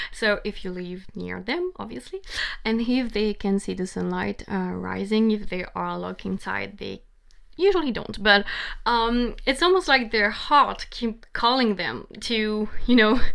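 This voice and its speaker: A woman with a non-native accent speaks at a fairly slow pace, her loudness swinging widely. The recording is very clean with a silent background. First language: not English. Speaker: tarot reader. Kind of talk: tarot reading. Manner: halting.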